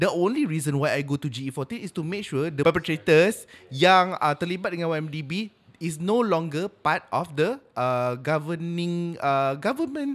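A man with a high voice speaks at a fairly slow pace with lively intonation. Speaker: podcast co-host, social media worker. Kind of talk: casual chat.

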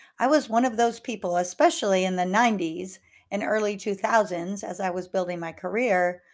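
On a very clean recording with a silent background, a plain, everyday voice keeps a moderate pace and ordinary pitch variation. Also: woman. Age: 50s. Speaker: life coach and podcast host. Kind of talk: solo podcast monologue.

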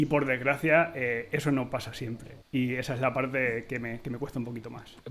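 A man with an ordinary speaking voice, medium pitch, fairly even intonation, and a moderate pace. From Spain. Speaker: tech podcast host, designer. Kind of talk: casual panel discussion.

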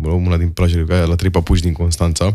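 Very clean recording, silent background, and a dark, mellow tone. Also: man. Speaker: stand-up comedian and advertising copywriter. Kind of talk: casual interview chat.

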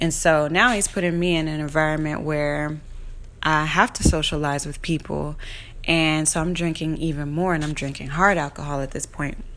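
At a moderate pace, a woman with a very deep, low pitch speaks amid audible room echo. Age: 30s. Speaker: podcast host, tarot reader and astrologer. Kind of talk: casual monologue. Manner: conversational with many fillers.

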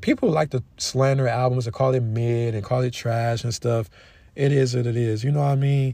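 Speaking at a moderate pace, a man has a medium pitch, a dark, mellow tone and a somewhat breathy quality, with monotone, flat intonation. The recording is very clean, with a silent background. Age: 20s. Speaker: solo podcaster on basketball and rap. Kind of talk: casual solo commentary. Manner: halting, many fillers.

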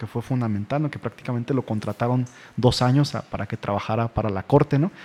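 A man speaks at a medium pitch in an ordinary speaking voice, keeping his intonation fairly even. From Mexico, Irapuato, Guanajuato. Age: 30s. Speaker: historian. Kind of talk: radio interview.

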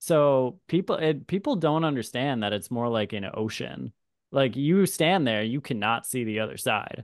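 Against a quiet background, a man with a normal speaking voice and medium pitch talks at a moderate pace with lively intonation. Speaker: birding podcast host. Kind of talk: casual interview chat.

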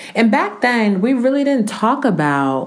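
A woman with an American accent, lively intonation, and audible room echo. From US Northeast, Newark, New Jersey. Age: 30s. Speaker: podcast host. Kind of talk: scripted podcast monologue.

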